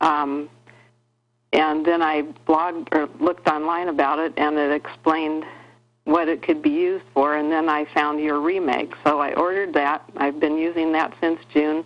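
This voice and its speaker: Speaking at a moderate pace, a woman has a very deep, low pitch and a monotone, flat intonation. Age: 60s. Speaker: caller. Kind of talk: call-in question on health show. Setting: phone call.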